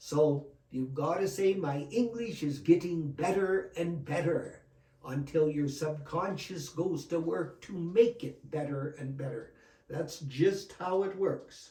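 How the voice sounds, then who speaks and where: Talking at a very slow pace, a man with a Canadian accent has a fairly high pitch. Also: ordinary pitch variation. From Alberta, Canada. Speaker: retired educator. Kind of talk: interview.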